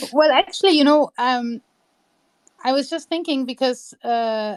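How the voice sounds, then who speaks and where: The sound is dry and close, with no echo. A woman talks at a fairly slow pace in a high pitch with lively intonation. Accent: non-native. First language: not English. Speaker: historian. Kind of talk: casual chat.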